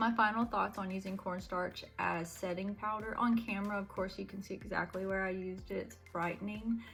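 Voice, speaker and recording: A woman's medium-pitched voice over background music. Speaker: beauty vlogger. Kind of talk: makeup tutorial. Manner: casual, chatty.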